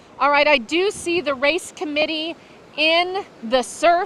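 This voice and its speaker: Projecting her raised voice, a woman speaks at a fairly slow pace with noticeable background noise behind her. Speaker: sailing race commentator. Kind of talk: live commentary. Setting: outdoors on a beach. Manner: loud.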